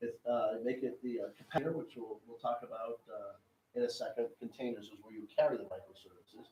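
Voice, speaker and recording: A man is speaking here. His pace is fairly quick. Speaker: technology executive giving a master class. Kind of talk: lecture. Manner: fast.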